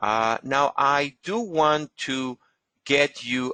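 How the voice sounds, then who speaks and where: A man in a Spanish accent, bright and sharp in tone, ordinary pitch variation, dry, close sound with no echo. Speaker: genealogist. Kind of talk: webinar lecture with Q&A. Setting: online webinar. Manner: halting, many fillers.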